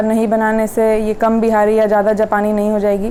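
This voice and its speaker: A Bihari accent amid noticeable background noise. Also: woman. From Bihar, India. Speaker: teacher. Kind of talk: casual monologue to camera.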